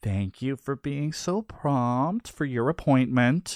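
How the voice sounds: Here someone reads aloud in a natural manner.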